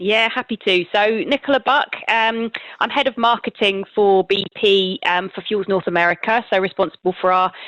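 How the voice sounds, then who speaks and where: A woman with a British accent speaks at a medium pitch and a moderate pace, with ordinary pitch variation. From Britain. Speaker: marketing executive. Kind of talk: podcast interview.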